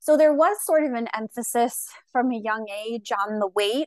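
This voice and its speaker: A woman with an American accent talks at a fairly high pitch and a fairly slow pace in a normal speaking voice. The sound is dry and close, with no echo. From Long Island, New York. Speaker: registered dietitian. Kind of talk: casual interview chat.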